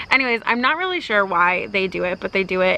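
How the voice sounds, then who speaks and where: The speech runs at a fairly quick pace, with noticeable background noise. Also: woman. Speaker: pet vlogger. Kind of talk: casual vlog talk. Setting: outdoors.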